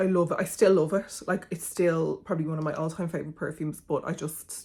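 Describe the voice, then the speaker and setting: Speaking at a very fast pace, a woman has a dark, mellow tone, a fairly low pitch, a somewhat breathy sound and a monotone, flat intonation. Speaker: beauty content creator. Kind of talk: casual product review vlog.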